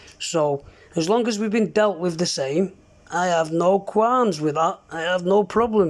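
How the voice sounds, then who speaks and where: The speech moves at a moderate pace with ordinary pitch variation in a very clean recording with a silent background. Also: man. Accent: strong Mancunian. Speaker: CB radio user. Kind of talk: heated argument over radio.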